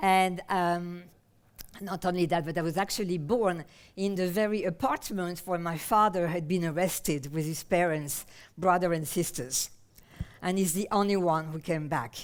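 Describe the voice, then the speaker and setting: A woman talks at a moderate pace with a French accent. Her pitch is fairly low, with ordinary variation. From France, Paris. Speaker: somatic therapist and researcher. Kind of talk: conference talk. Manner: halting, many fillers.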